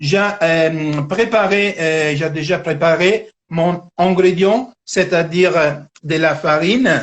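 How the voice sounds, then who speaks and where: At a very slow pace, a man with an Italian accent speaks in a high pitch. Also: ordinary pitch variation. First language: Italian (speaking French). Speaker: cooking teacher. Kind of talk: cooking tutorial. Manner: halting.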